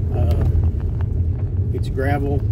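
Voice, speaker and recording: A man talks through loud background noise. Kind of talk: casual narration while driving. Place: car. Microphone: phone near.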